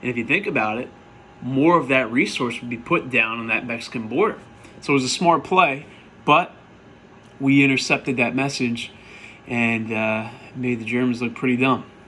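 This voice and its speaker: Audible room echo surrounds a man speaking at a moderate pace and medium pitch, with ordinary pitch variation and long, frequent pauses. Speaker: history teacher. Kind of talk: recap lecture to students. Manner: casual, conversational.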